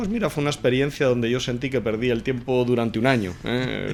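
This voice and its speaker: A man speaks at a fairly quick pace with medium pitch and fairly even intonation. Noticeable background noise can be heard. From Spain, Madrid. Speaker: company executive. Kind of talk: interview conversation. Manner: hesitant, repeating words.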